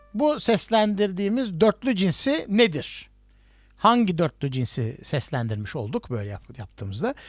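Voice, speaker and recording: Music plays in the background as a man speaks at a fairly slow pace. His pitch is high and swings very widely. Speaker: music professor. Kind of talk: online lecture. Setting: video call. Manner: halting, many fillers.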